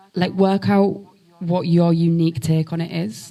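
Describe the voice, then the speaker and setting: With a strong Hull accent, a woman speaks in a very deep, low, somewhat breathy voice with a dark, mellow tone, fairly even intonation and a fairly slow pace. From northern England, Hull. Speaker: spoken word poet. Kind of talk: live panel conversation. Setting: stage with audience.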